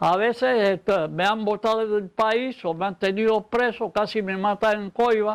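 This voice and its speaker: A man speaks with a high-pitched voice. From Panama. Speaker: poet and historian. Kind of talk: interview.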